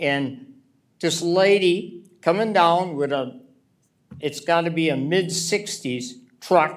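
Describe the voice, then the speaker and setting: A man with an American accent, high-pitched, at a very slow pace. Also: ordinary pitch variation. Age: 70s. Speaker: resident speaking at public meeting. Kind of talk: public comment at city meeting. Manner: animated.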